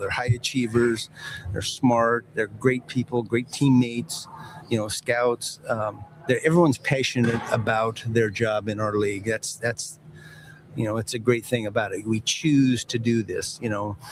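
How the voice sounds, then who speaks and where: A man at medium pitch keeps fairly even intonation and a moderate pace while noticeable background noise plays behind him. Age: 60s. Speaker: football executive. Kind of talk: interview. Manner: halting.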